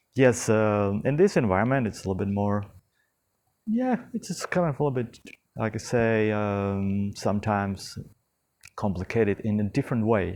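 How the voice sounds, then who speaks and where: Against a quiet background, a man with a non-native accent speaks at a moderate pace, his fairly low pitch showing ordinary variation. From not from the local tropical country. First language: not English. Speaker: eco-retreat founder giving a tour. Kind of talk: casual walking video tour. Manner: halting, many fillers and repetitions.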